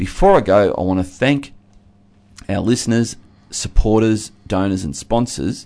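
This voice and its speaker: A man with an Australian accent talks fairly slowly in a fairly low voice with a dark, mellow tone, ordinary pitch variation and long, frequent pauses. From Australia, Geelong (Victoria). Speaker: pastor and regular radio commentator. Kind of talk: radio discussion. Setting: radio studio.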